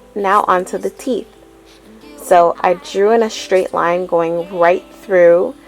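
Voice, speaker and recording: A woman's medium-pitched voice at a very slow pace, with ordinary pitch variation and music in the background. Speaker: makeup artist. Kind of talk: makeup tutorial voice-over.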